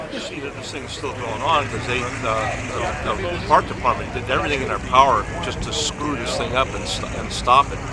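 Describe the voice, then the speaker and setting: A man speaks at a moderate pace with hardly any pauses and big swings in loudness over noticeable background noise. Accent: American. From San Francisco, California. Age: 70s. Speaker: car show attendee. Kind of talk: casual interview. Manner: halting, many fillers.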